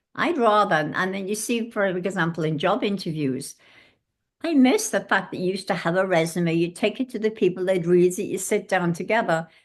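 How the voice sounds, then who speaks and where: Against a quiet background, a woman with an English accent talks at a fairly quick pace in a medium pitch with ordinary pitch variation. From England. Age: 80s+. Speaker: former hotel housekeeper and ageism activist. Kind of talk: podcast interview. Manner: halting.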